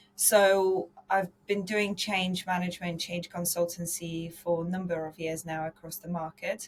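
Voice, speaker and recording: A woman with a slight Polish accent talks at a fairly slow pace, her pitch fairly low. Her voice is somewhat breathy and her intonation stays monotone and flat. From Poland. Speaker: insurance consultant and podcast host. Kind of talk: podcast interview.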